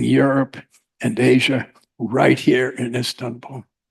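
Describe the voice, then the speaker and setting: Very slow speech from a man whose voice carries vocal fry. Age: 80s+. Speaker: keynote speaker, existential therapist. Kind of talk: conference keynote speech; reading a prepared paper. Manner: halting, many filler words.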